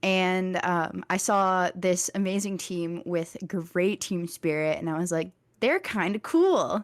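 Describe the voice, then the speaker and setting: Speaking very slowly with hardly any pauses, a woman with a slight Texan accent keeps a fairly even intonation on a very clean recording with a silent background. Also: medium pitch for a woman. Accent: slight Texas accent picking up. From Virginia, Richmond. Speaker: college student podcaster. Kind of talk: casual chat.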